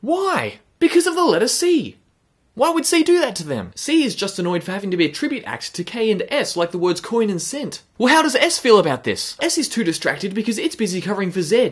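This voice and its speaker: An extremely high-pitched man at a fairly quick pace, with very wide pitch swings, against a quiet background. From Zambia. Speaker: comedy video creator. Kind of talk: comedic monologue. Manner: animated. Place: home room.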